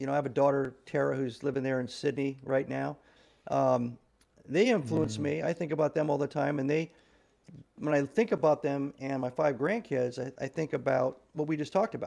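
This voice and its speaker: A man with an American accent speaks at a fairly quick pace in a fairly high pitch with ordinary pitch variation. His tone is dark and mellow, and the background is quiet. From US Midwest, Nebraska. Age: 60s. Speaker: retired navy officer and author; podcast guest. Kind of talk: interview conversation. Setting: remote call. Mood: reflective, warm. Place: home room. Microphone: video call.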